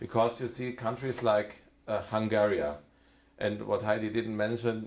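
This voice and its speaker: Fairly slow, monotone delivery in a German accent, with flat intonation. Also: man. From Germany. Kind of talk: talk to an audience. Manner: halting, many fillers.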